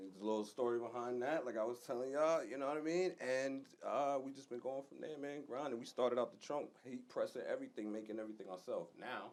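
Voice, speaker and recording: A man speaks with a New York accent. His pace is very fast. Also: medium pitch for a man, ordinary pitch variation. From New York, Long Island. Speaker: fashion designer, clothing brand co-founder. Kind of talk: casual interview.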